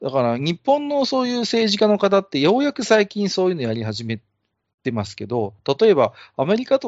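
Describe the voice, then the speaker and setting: At a fairly quick pace, the voice shows very wide pitch swings. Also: man. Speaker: amateur podcast host. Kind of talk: casual chat. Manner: self-described clumsy talker.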